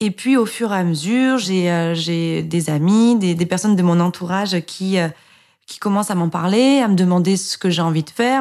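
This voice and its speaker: A woman's medium-pitched voice at a moderate pace, with ordinary pitch variation, on a very clean recording with a silent background. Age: 30s. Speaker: mother sharing breastfeeding experience. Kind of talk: personal testimony. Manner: hesitant, many fillers and repetitions.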